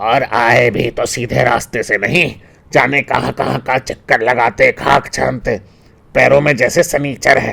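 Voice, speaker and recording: At a moderate pace, a man with a medium pitch performs in a put-on character voice. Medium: read story.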